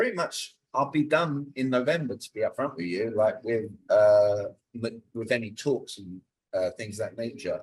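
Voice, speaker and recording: A somewhat breathy, medium-pitched man's voice with a British accent and big swings in loudness. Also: ordinary pitch variation, moderate pace. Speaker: communication coach. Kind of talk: interview. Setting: podcast.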